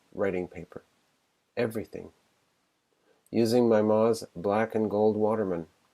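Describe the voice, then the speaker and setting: A man speaks in a Canadian accent at medium pitch. His tone is dark and mellow, and his pace is moderate. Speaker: competition shortlisted writer. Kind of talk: reading aloud own fiction. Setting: streamed online literary event.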